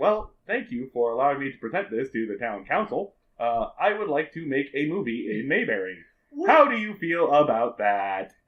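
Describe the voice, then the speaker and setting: Doing a put-on character voice, a man talks at a moderate pace with a fairly high pitch and very wide pitch swings. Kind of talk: formal, proper.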